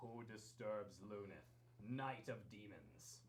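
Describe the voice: In a put-on character voice, a man booms at a very slow pace with a fairly low pitch, clear background noise behind him.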